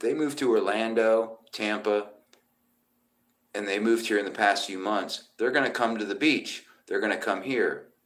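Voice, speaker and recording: With an American accent, this man is talking. His delivery runs fairly slowly. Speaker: musician. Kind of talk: casual live stream chat. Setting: motel room. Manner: loud.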